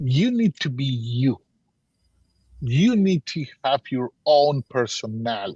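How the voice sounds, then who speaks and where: Very slowly and somewhat breathily, a man with a non-native accent speaks at medium pitch in a dark, mellow tone with lively intonation, recorded in a dry, close sound with no echo. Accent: noticeable foreign. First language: Spanish or Portuguese. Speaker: business mentor. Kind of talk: workshop Q&A advice.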